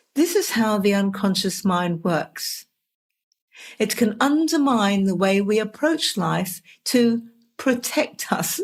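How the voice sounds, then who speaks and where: Speaking very slowly with an English accent, a woman has a medium-pitched, somewhat breathy voice. Her intonation is lively and her loudness very even. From England. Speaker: podcast host, dream interpreter. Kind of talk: scripted podcast monologue.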